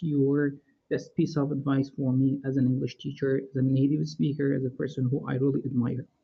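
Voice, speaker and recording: A somewhat breathy voice with a Middle Eastern accent at a moderate pace. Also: man. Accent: clear Middle Eastern. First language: Persian. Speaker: English teacher. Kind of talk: live stream Q&A.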